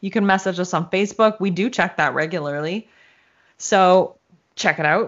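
At a moderate pace and medium pitch, a woman talks in a normal speaking voice with ordinary pitch variation. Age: middle-aged. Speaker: podcast co-host. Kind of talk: casual chat.

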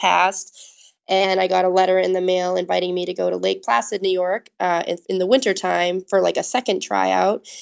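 A woman talks at a fairly quick pace in an ordinary speaking voice. Her pitch sits in the medium range. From US, Maine. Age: 30s. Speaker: Olympic luge athlete. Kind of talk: interview.

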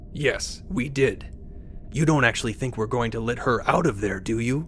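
A man's gruff, put-on character voice at medium pitch and moderate pace, over clear background noise. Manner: gruff, sneering, sarcastic.

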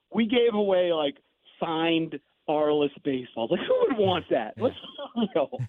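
Delivered at a fairly slow pace with long, frequent pauses, the speech has lively intonation and very even loudness. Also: man, high pitch for a man. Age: 50s. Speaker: morning sports radio host and author. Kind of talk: casual interview. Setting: guest line into radio studio.

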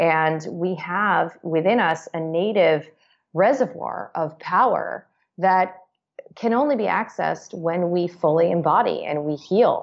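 With a fairly low pitch and ordinary pitch variation, a woman speaks in an unremarkable speaking voice at a fairly slow pace. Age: 30s. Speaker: psychiatrist. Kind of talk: interview.

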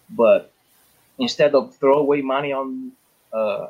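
At a fairly slow pace, a man talks at a medium pitch with ordinary pitch variation. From Italy. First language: Italian. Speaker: firearms instructor. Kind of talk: panel discussion. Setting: video call. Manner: halting.

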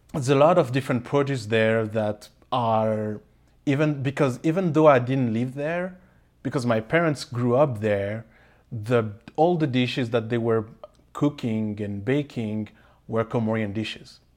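Speaking at a fairly slow pace, a man with a French accent uses a medium pitch. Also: ordinary pitch variation. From Paris, France. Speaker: pastry chef and baking teacher. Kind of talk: casual interview.

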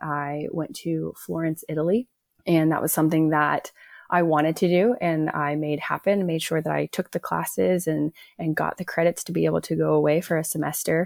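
An American accent at a moderate pace, in a dry, close sound with no echo and a very clean recording with a silent background. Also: woman. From Oklahoma, US. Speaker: physical therapist and hiking mom. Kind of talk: interview.

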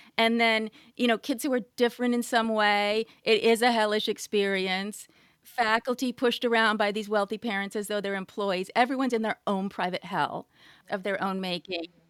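An unremarkable speaking voice, a woman's, fairly high in pitch, with an American accent, fairly even intonation and a moderate pace. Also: dry, close sound with no echo. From California. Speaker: writer and journalist. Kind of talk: interview conversation.

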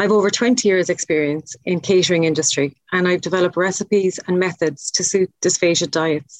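Recorded dry and close with no echo, a woman speaks at a moderate pace with fairly low pitch and fairly even intonation. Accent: Irish. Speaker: chef, podcast guest.

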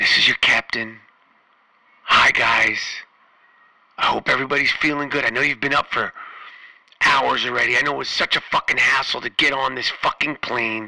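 A man uses a raspy, put-on character voice at a moderate pace. He leaves long, frequent pauses. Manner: casual, joking.

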